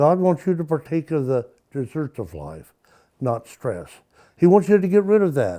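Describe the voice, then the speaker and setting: A man's fairly high voice, dark and mellow in tone, with very wide pitch swings at a moderate pace. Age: 70s. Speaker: retired art teacher and author. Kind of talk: documentary interview. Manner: halting.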